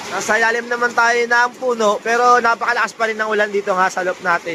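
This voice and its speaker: Talking at a fairly quick pace, the man has an extremely high pitch. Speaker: pigeon hobbyist vlogger. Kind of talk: casual vlog narration. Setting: outdoors. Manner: animated; loud.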